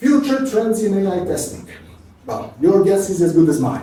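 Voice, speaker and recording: A man's high-pitched voice with lively intonation and audible room echo. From Serbia. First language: Serbian. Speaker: QA automation engineer, conference speaker. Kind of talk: conference talk. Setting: stage with audience. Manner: fast.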